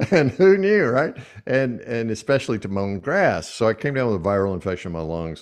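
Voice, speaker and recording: A man with a Southern US accent talks over a quiet background. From US South. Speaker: podcast host and speaker. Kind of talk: interview. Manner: animated.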